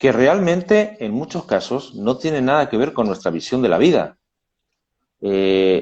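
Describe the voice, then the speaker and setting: Speaking with a Spanish accent, a man holds a medium pitch at a fairly slow pace. His pitch swings very widely. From Spain, Madrid. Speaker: labor lawyer. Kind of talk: casual chat. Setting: video call. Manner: halting.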